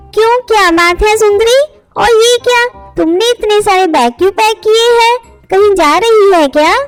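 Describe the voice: A woman uses a cartoonish character voice pitched extremely high, with ordinary pitch variation and faint music in the background. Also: moderate pace.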